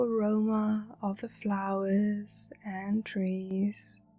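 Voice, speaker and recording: Music plays in the background as a woman speaks in a fairly high pitch. Her tone is soothing. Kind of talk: guided meditation narration. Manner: slow, calming, soothing.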